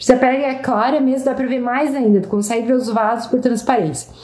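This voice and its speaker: A woman's high-pitched voice with ordinary pitch variation, amid noticeable background noise and audible room echo. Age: 30s. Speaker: dermatologist. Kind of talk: live Q&A stream. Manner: casual, with many fillers.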